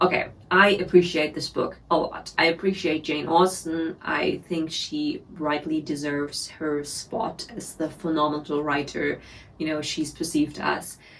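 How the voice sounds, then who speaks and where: A woman with a German accent talks at a fairly slow pace with a very deep, low pitch, monotone, flat intonation and hardly any pauses. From Germany. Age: 20s. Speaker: book reviewer. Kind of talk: casual talk to camera.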